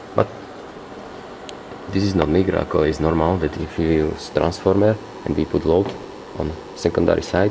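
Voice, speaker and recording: Against noticeable background noise, a man with a non-native accent and a very deep, low pitch talks at a moderate pace with fairly even intonation and long, frequent pauses. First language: not English. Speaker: hobbyist experimenter. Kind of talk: tutorial. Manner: halting.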